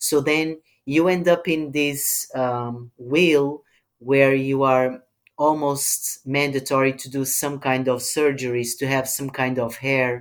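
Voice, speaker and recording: A man with a Portuguese accent, fairly high pitch, very slow pace and monotone, flat intonation. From Portugal. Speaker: film director. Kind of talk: interview. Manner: hesitant, many ums.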